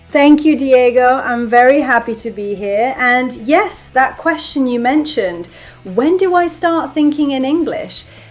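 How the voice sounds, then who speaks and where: Over noticeable background noise, a woman with a British accent talks at a fairly slow pace in a high pitch with lively intonation. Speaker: ESL teacher and neuroscience expert. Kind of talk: podcast interview.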